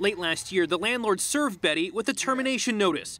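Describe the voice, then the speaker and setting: A man's raised, projected voice, bright and sharp, with lively intonation at a fairly quick pace. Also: dry sound with no echo. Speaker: TV news reporter. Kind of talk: TV news report.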